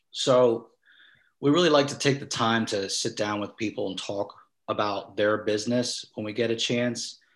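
Against a quiet background, a man talks at a moderate pace. His pitch is medium, with ordinary variation. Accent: American. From South New Jersey. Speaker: digital marketing business owner. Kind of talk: interview. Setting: video call.

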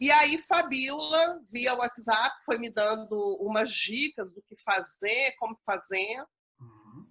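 Very slowly, a woman speaks at a high pitch in a bright, sharp tone with lively intonation. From Rio de Janeiro state, Brazil. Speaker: cultural organizer and school arts educator. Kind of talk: interview. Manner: halting, with frequent fillers.

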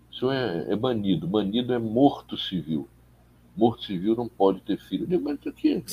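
Vocal fry runs through a man's medium-pitched voice, which swings very widely in pitch at a moderate pace. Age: 70s. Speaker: journalist and political activist. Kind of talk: interview. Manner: halting.

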